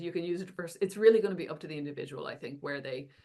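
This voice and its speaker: Her pitch is fairly low for a woman. She speaks in an Irish accent. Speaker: AI and education scholar, author. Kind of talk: podcast interview discussion.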